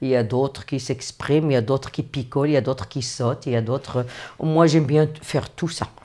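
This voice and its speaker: A woman talks at a fairly quick pace with a very deep, low pitch and a dark, mellow tone. Her intonation is fairly even, and the recording is very clean with a silent background. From Morocco. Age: 60s. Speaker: interviewee. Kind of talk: personal storytelling interview. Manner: hesitant with repetitions.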